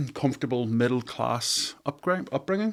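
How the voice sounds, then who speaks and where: A man's medium-pitched voice with a Northern Irish accent and ordinary pitch variation. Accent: Northern Irish (Belfast). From Northern Ireland, near Belfast. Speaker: architect and entrepreneur. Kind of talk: podcast interview. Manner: hesitant, many fillers.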